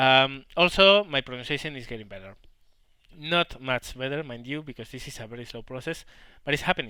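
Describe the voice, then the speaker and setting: A man with a strong Spanish accent talks at a fairly quick pace and a medium pitch, with ordinary pitch variation. His tone is bright and sharp, and his loudness swings widely. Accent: heavy Spanish. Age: 30s. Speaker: gaming YouTuber. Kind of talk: Q&A commentary. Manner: halting.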